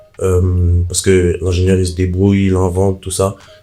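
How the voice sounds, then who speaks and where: Music runs in the background as a man with a very deep, low pitch speaks at a moderate pace. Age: 20s. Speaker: electrician and content creator. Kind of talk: casual podcast interview.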